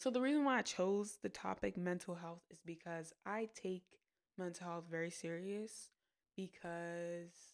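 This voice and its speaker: This woman's pitch is fairly low, with ordinary variation. She speaks at a fairly slow pace. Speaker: student podcast host. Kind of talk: casual monologue. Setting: on a college campus. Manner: hesitant, many fillers.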